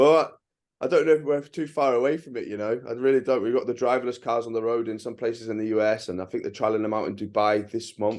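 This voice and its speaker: With an English accent, the speaker goes at a very fast pace using ordinary pitch variation. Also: man, medium pitch for a man, quiet background. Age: 30s. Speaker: travel vlogger. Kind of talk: casual chat. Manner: halting.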